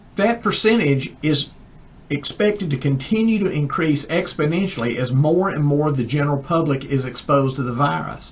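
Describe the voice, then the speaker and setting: A man with a Southern US accent, lively intonation and a moderate pace. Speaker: chiropractor, science newsletter editor. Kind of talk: casual talk to camera.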